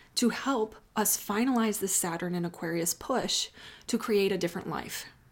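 In an American accent, a woman uses a normal speaking voice at a moderate pace and medium pitch, with ordinary pitch variation on a very clean recording with a silent background. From US Midwest, Chicago. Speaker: astrologer. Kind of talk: solo astrology reading. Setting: home office, off usual filming spot.

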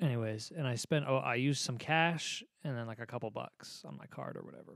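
Over a silent background in a very clean recording, a man uses an ordinary speaking voice at medium pitch, fairly quick pace and ordinary pitch variation. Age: 20s. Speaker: podcast co-host and guitar teacher. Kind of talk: casual chat. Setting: home studio.

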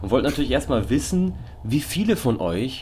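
This man's voice has vocal fry. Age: 20s. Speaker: podcast co-host. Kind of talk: casual chat.

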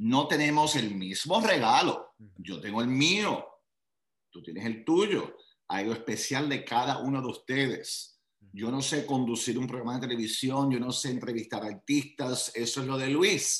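Speaking at medium pitch, a man has an unremarkable speaking voice. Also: lively intonation, fairly slow pace. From Puerto Rico. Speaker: motivational speaker and life coach. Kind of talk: interview.

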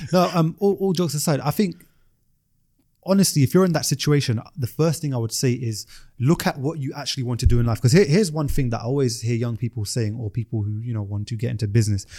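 Talking at a very fast pace, a man uses lively intonation in a dark, mellow, somewhat breathy tone. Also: medium pitch for a man. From South London. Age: 20s. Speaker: entrepreneur and private pilot. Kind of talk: casual chat.

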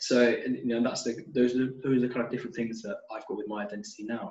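With a British accent, a man speaks at a very fast pace and medium pitch. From United Kingdom. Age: 20s. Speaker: postgraduate student. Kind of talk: interview.

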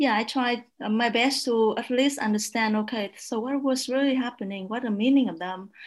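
A woman speaks at a moderate pace in a Vietnamese accent, her pitch high and her intonation fairly even. She hardly pauses at all. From northern Vietnam, south of Hanoi. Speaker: media researcher. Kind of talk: panel discussion.

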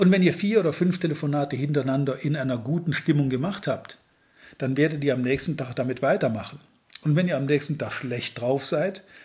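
Somewhat breathy and fairly high in pitch, a man speaks at a fairly quick pace. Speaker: sales trainer. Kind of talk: podcast monologue.

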